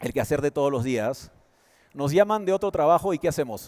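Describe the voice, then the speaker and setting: A man's fairly high-pitched voice in a dry, close recording with no echo. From Peru. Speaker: conference speaker, advertising executive. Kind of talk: motivational talk.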